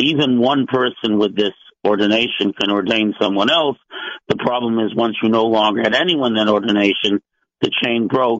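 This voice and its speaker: It is a plain, everyday voice with ordinary pitch variation and very even loudness. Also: man, medium pitch for a man, moderate pace. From US (Maine and Los Angeles). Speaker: rabbi and scholar. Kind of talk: radio panel discussion.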